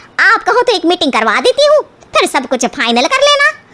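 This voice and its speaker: A woman puts on a cartoonish character voice at an extremely high pitch. Her pitch swings very widely as she talks very fast. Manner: chatty, eager.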